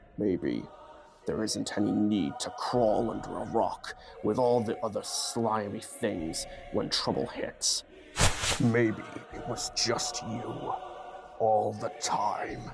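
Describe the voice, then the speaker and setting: Speaking in a put-on character voice at a medium pitch, a man talks at a very slow pace with long, frequent pauses while clear background noise plays. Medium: dub. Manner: serious, grave.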